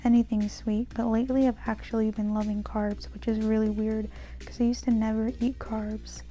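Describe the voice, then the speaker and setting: Soft-spoken and at a fairly slow pace, a woman talks over music in the background. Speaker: bullet journal YouTuber. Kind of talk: voiceover tutorial. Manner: monotone.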